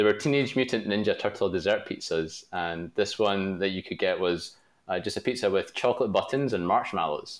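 In a very clean recording with a silent background, a man with a Glasgow accent talks at a fairly quick pace, his pitch fairly low with ordinary variation. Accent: Scottish (Glaswegian). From Glasgow, Scotland. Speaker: product manager. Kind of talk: interview.

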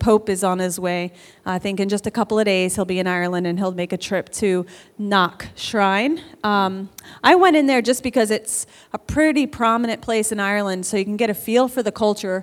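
A woman with an American accent and a plain, everyday voice speaks at a fairly quick pace and medium pitch with ordinary pitch variation. The recording is very clean, with a silent background. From New York. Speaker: missionary. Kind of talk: church testimony and interview. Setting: church service.

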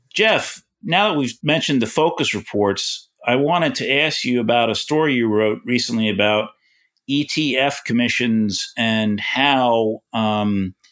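With a New York accent, a man speaks at a fairly slow pace and medium pitch, with ordinary pitch variation and very even loudness, on a very clean recording with a silent background. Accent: New York-type. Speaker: financial news journalist. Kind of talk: casual chat.

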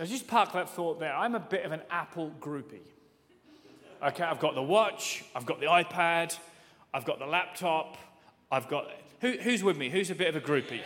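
A man with an English accent speaks at a high pitch and a moderate pace. His intonation is lively, broken by long, frequent pauses. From England. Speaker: pastor. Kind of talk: sermon. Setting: church. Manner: animated.

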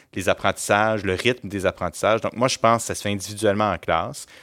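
The speaker has an ordinary speaking voice and moves at a fairly quick pace. The sound is dry and close, with no echo. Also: man. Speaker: school principal. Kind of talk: interview. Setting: studio.

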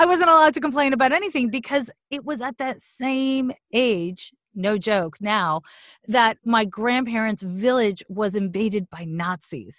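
A woman with a plain, everyday voice, fairly high pitch and lively intonation, dry and close with no echo, very clean recording with a silent background. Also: moderate pace. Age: 40s. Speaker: astrologer and psychic medium. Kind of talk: casual interview.

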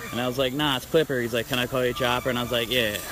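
The man's voice sits at a medium pitch with monotone, flat intonation. Noticeable background noise runs underneath. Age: 30s. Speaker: BMX trail rider. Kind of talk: casual chat.

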